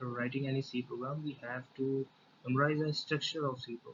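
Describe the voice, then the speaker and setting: A man's somewhat breathy voice with an Indian accent, fairly high in pitch, with fairly even intonation at a moderate pace. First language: Hindi. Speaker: programming tutor. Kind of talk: tutorial. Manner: halting, many fillers.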